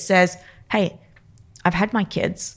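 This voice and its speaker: A woman with an Australian accent speaks at medium pitch in a monotone, flat intonation. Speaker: neurophysiologist and performance coach. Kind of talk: interview.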